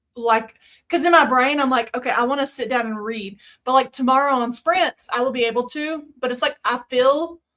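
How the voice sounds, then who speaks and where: The voice moves at a moderate pace with a slight Southern US accent. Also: woman. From US South. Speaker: streamer. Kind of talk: casual chat. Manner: halting.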